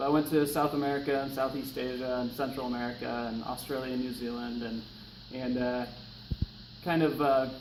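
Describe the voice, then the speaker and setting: A man with a Pacific Northwest accent, audible room echo around his voice. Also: medium pitch for a man, fairly quick pace. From US Pacific Northwest, eastern Washington. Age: 30s. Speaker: firefighter. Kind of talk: class speech assignment, self-introduction. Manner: casual, many filler words.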